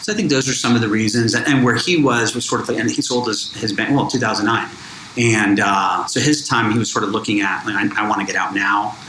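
A man with a medium-pitched voice talks at a fairly quick pace with ordinary pitch variation, with audible room echo and noticeable background noise. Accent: American. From Miami, Florida. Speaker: bank founder and entrepreneur. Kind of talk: interview.

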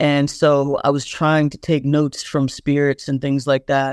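A woman with a Southern US accent speaks at a very deep, low pitch in a monotone, flat intonation. The recording is very clean, with a silent background. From US South, South Carolina Lowcountry. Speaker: poet. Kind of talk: casual interview.

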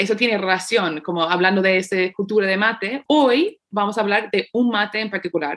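An unremarkable speaking voice, this woman's sits at a medium pitch with ordinary pitch variation and a moderate pace. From United States. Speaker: podcast host. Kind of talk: casual chat.

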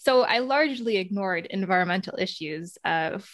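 In a very clean recording with a silent background, a woman with an American accent and a plain, everyday voice speaks at a moderate pace, with medium pitch and ordinary pitch variation. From United States. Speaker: sustainability researcher and podcast host. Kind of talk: interview conversation.

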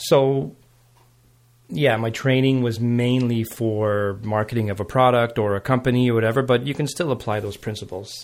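A man with a Montreal accent at medium pitch, moderate pace and fairly even intonation, on a very clean recording with a silent background. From Montreal West Island, Quebec. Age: 40s. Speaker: jazz blues guitarist. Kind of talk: casual chat.

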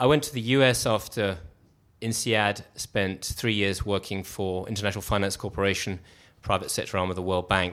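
At a moderate pace, a bright, sharp voice moves with ordinary pitch variation over a very clean recording with a silent background. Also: man. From England. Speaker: startup co-founder, investor. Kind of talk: live interview, conversational storytelling. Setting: live event with audience.

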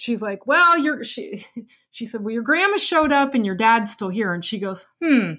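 A woman's fairly high, bright, sharp voice in an American accent, moderate in pace with very wide pitch swings. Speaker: podcast co-host. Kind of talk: casual chat, storytelling.

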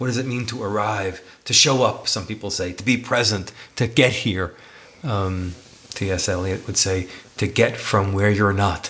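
Noticeable background noise runs behind a man with an American accent. His fairly low voice keeps a moderate pace and fairly even intonation. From New York City. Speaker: podcast co-host, teacher and author. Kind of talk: casual chat between partners.

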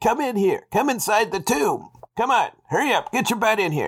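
A man's put-on character voice, high-pitched with big pitch swings and a slightly husky edge, at a moderate pace on a very clean recording with a silent background

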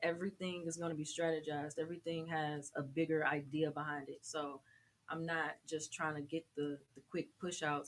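Using a very deep, low pitch, a woman with an American accent talks at a moderate pace in monotone, flat intonation. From US South, Atlanta, Georgia. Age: 20s. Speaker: singer and rapper. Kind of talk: interview.

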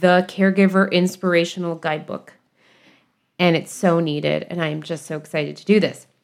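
Recorded very cleanly against a silent background, a woman talks at a fairly low pitch with ordinary pitch variation. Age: young. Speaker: podcast host, psychotherapist. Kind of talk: casual monologue.

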